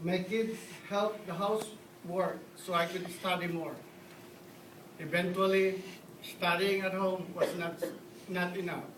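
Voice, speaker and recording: A man with a high pitch sounds nervous, speaking in a monotone, flat way with long, frequent pauses. Noticeable background noise runs underneath. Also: fairly slow pace. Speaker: dental assistant. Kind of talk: awards ceremony speech.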